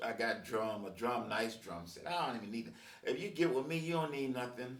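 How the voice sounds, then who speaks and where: A man with lively intonation at a moderate pace, with audible room echo. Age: 60s. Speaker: musician and video blogger. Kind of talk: casual monologue. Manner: halting, many fillers.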